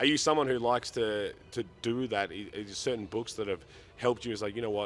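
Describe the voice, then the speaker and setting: Talking at a fairly quick pace, a man speaks with an Australian accent. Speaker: sports interviewer. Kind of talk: interview. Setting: at a sports event.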